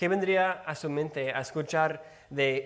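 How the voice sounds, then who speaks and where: With an English accent and ordinary pitch variation, the voice carries audible room echo. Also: man. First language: English (speaking Spanish). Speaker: preacher. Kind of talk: sermon. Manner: halting, with stumbles and repeated words.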